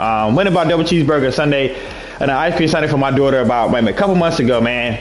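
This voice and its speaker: Noticeable background noise along with audible room echo. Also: man. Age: 30s. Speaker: online gaming league commissioner. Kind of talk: livestream monologue. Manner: halting.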